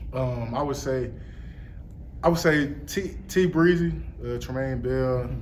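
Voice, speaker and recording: A man speaks fairly slowly while light noise sits in the background. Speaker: college football player. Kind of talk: interview. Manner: halting. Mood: relaxed, friendly. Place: hall. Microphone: handheld.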